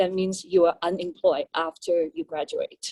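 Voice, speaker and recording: Speaking fairly slowly in a dark, mellow tone with ordinary pitch variation, a woman with a Chinese accent is heard in a dry, close sound with no echo. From China. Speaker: police officer. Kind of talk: panel talk. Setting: panel at public forum.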